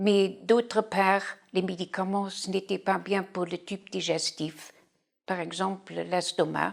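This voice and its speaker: Very slowly and in a flat monotone, a woman speaks at a medium pitch with vocal fry. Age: 60s. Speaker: patient. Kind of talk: testimony. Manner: halting.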